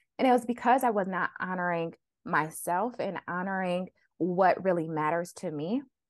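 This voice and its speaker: A woman's medium-pitched, normal speaking voice at a moderate pace. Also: ordinary pitch variation. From Flint, Michigan. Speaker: physician and money coach. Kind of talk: interview conversation.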